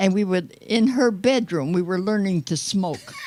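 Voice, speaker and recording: In a Midwestern American accent, a woman speaks at a medium pitch and a moderate pace with lively intonation. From US Midwest, Detroit. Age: 80s+. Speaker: nonagenarian guest. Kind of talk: casual chat.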